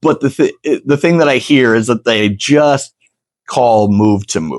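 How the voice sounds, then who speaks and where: A man with an American accent speaks at medium pitch in an unremarkable speaking voice, the sound dry and close with no echo. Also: lively intonation, fairly slow pace. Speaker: ring announcer and sports commentator. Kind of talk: interview answer. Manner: casual, conversational.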